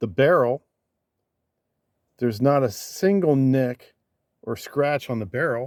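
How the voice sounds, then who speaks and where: The sound is dry and close with no echo as a man speaks fairly slowly in a medium pitch. He uses ordinary pitch variation and takes long, frequent pauses. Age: 60s. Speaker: YouTuber. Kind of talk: firearms review. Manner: casual.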